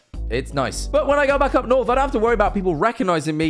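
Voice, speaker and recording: A man is speaking. He has an East Midlands accent. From English East Midlands, Mansfield. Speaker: streamer and YouTuber. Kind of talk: casual commentary monologue.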